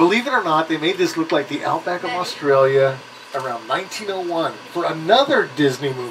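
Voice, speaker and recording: Over noticeable background noise, a man's voice moves with lively intonation at a moderate pace. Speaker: studio tour guide. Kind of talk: tour guide commentary. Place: bus.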